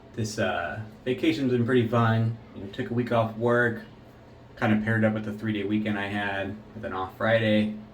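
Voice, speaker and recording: Flat, monotone intonation marks this man's fairly low, relaxed voice at a moderate pace. Audible room echo and noticeable background noise are present. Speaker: shaving video host. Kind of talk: casual chat.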